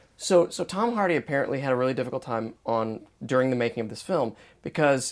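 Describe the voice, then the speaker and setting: A man speaks in an unremarkable speaking voice at a medium pitch and fairly quick pace. The recording is very clean, with a silent background. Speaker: podcast host. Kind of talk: casual chat.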